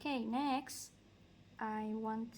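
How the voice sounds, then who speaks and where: A woman with an Indonesian accent talks at a fairly high pitch with ordinary pitch variation. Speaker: art content creator. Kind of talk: casual livestream chat while coloring. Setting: live stream. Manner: halting.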